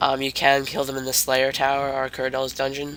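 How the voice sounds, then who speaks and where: Music plays in the background. A man talks at a medium pitch with monotone, flat intonation. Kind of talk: game guide commentary. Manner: casual, hesitant.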